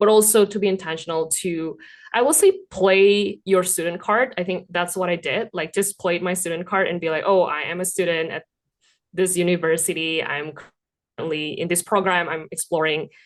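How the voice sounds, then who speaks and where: A woman speaks with a non-native accent. Her pitch is fairly low and her intonation fairly even. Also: moderate pace. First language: not English. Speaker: immigrant MBA student. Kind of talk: casual interview chat.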